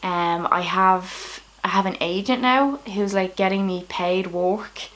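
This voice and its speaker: Against noticeable background noise, a woman with a Dublin accent talks at a medium pitch. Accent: Irish, Dublin. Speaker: comedian. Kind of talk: casual vlog talk to camera. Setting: at home, late at night.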